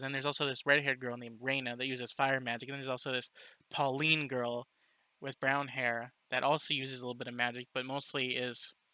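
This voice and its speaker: A man at medium pitch talks at a very fast pace in a bright, sharp tone, the sound dry and close with no echo. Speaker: book reviewer. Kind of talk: casual review monologue. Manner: halting, many repeated words and fillers.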